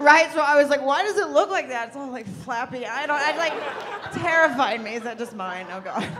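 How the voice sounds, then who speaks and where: Amid crowd noise in the background, a woman with an American accent speaks at a moderate pace in a high pitch, with very wide pitch swings and big swings in loudness. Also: hardly any pauses. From US South, Arkansas small town. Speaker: stand-up comedian. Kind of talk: stand-up. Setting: stage with audience. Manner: animated. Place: stage.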